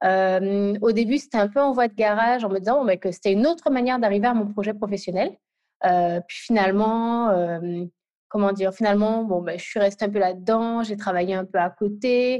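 A woman's voice of medium pitch and ordinary pitch variation at a moderate pace. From Guadeloupe. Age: 20s. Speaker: UX product designer. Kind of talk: interview. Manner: halting.

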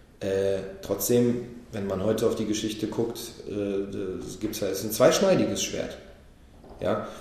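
Speaking at a very slow pace, a man leaves long, frequent pauses in a fairly low pitch. The recording has audible room echo and noticeable background noise. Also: ordinary pitch variation. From Berlin, Germany. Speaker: rapper. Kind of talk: casual chat.

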